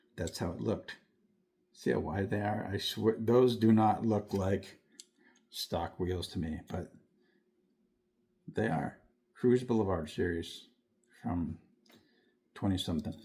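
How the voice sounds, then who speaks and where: A man with a dark, mellow tone speaks at a fairly slow pace, sounding somewhat breathy. Long pauses come often. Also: fairly low pitch for a man, ordinary pitch variation. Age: 70s. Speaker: diecast collector YouTuber. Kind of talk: casual show-and-tell vlog. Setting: dim room at home. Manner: casual, rambling with fillers.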